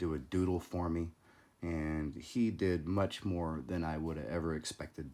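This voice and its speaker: The pace is moderate. The recording is very clean, with a silent background. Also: man. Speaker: collectibles YouTuber. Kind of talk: casual video commentary.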